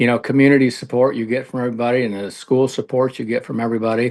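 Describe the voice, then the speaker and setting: A man with an American accent has an unremarkable speaking voice at a medium pitch, with fairly even intonation and a quiet background. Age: 60s. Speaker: retired coach and athletic director. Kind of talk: radio interview.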